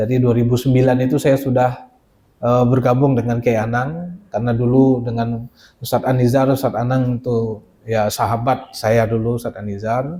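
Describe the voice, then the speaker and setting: A man with a Minangkabau accent talks at a moderate pace in a medium pitch. His tone is dark and mellow, with fairly even intonation. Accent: Minang. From West Sumatra, Padang. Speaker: Islamic boarding school teacher and administrator. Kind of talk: informal presentation to visiting delegation. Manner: hesitant, many fillers.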